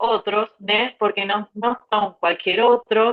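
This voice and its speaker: Very slowly and in a monotone, flat intonation, a woman with an Argentine accent speaks at a fairly high pitch. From Argentina, Tucumán. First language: Spanish (speaking Portuguese). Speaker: psychoanalyst. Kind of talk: group discussion. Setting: video call. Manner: halting.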